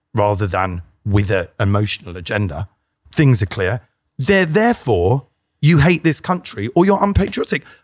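Over a silent background in a very clean recording, a man at a medium pitch talks at a moderate pace with very wide pitch swings, the sound dry and close with no echo. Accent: British. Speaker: satirist and podcaster. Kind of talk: casual chat interview.

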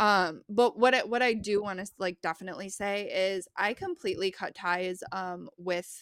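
With an American accent, a woman speaks in an ordinary speaking voice at medium pitch and a moderate pace, her intonation fairly even. The recording is very clean, with a silent background. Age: 20s. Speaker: librarian. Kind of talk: casual chat.

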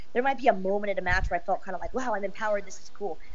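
A woman with an American accent speaks over noticeable background noise, and the room echo is audible. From Southern California. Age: 30s. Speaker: wrestling personality. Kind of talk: casual chat.

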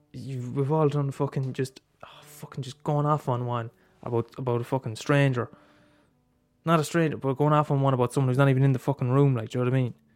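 Here a man speaks at a very fast pace at a medium pitch. His intonation is flat and monotone. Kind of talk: angry rant, sweary venting with mock imitation of grudges. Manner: heated, sarcastic, rapid-fire and profane, working himself up.

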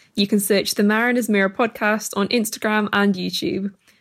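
Moving at a fairly quick pace, a woman speaks with fairly even intonation. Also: very clean recording, silent background. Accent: South Welsh. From Wales, Brecon Beacons. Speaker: presenter. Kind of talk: scripted narration; interview.

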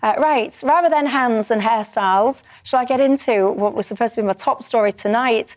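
Quite fast and at very even loudness, a woman speaks with a fairly high pitch and ordinary pitch variation. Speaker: TV talk show host. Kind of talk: panel discussion. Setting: studio. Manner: animated.

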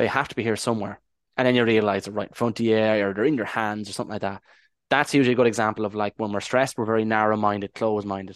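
A man with an Irish accent talks very fast in a fairly low, monotone, flat voice. The sound is dry and close with no echo, and the background is quiet. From Ireland. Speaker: Irish language advocate and hypnotherapist. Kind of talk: interview.

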